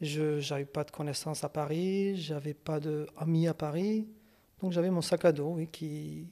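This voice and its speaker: A man's fairly high, dark, mellow voice at a fairly slow pace with fairly even intonation. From Kurdistan. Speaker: psychologist and psychoanalyst. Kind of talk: interview. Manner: hesitant, with fillers and repetitions.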